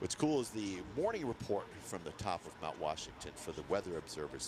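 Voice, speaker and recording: A man with a Maine accent speaks at a moderate pace in a fairly low voice. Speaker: ski race commentator. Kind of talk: casual chat.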